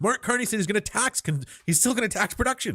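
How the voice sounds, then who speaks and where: A man's raised, projected voice at high pitch, with very wide pitch swings and a fairly quick pace, on a very clean recording with a silent background. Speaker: political commentator. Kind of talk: live stream reaction commentary. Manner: animated.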